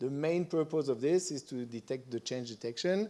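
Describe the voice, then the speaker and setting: In a French accent, a man talks at a moderate pace with a fairly high pitch and ordinary pitch variation. His tone is dark and mellow. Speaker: conference presenter on satellite imagery. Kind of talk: conference presentation.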